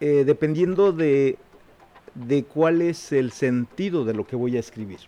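A man speaks at a fairly slow pace. His voice sits fairly high, with ordinary pitch variation. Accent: Oaxacan. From Mexico, Juchitán, Oaxaca. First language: Zapotec (speaking Spanish). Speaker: writer and poet. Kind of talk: interview.

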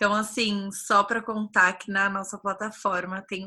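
A bright, sharp tone marks this woman's voice. She sits at a medium pitch. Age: 20s. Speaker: podcast host, community founder. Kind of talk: casual chat.

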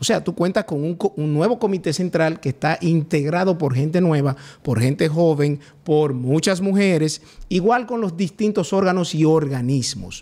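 A man speaks with a dark, mellow tone. His pitch sits fairly high, and his pace is moderate. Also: ordinary pitch variation. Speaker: party legal secretary, politician. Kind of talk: political interview. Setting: studio.

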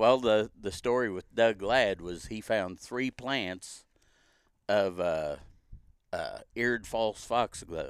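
The recording is very clean, with a silent background. A man speaks at a very slow pace, with ordinary pitch variation. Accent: American. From US Midwest. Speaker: seed harvest and restoration technician. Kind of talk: casual chat.

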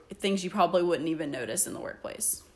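With noticeable background noise, a woman speaks in a fairly low pitch with ordinary pitch variation. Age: 20s. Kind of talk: casual chat.

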